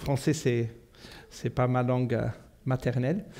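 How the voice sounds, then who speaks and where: A man with a Portuguese accent at a very slow pace. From South Africa. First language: Portuguese (speaking French). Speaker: pastor. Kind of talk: sermon. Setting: church. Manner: halting, many fillers.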